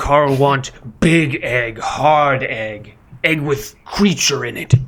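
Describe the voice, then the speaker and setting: A man performs a put-on character voice at a fairly high pitch. He speaks at a very slow pace. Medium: actual play. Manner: broken grammar, terse, glaring.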